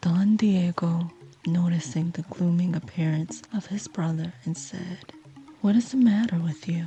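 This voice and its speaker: A calm tone at a fairly slow pace, with ordinary pitch variation and music in the background. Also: woman, fairly low pitch for a woman. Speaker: sleep story narrator. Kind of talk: sleep story narration. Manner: slow, calm.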